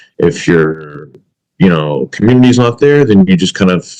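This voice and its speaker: Very wide pitch swings in a man's dark, mellow tone. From US South (Alabama), earlier California. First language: Arabic. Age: 30s. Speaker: podcast co-host. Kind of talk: casual chat. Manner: halting, many fillers.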